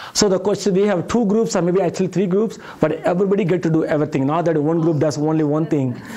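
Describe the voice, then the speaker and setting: With a strong Indian accent, a man speaks at a very fast pace with hardly any pauses and a high pitch, while audible room echo and noticeable background noise surround him. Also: ordinary pitch variation, very even loudness. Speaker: professor. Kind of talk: lecture.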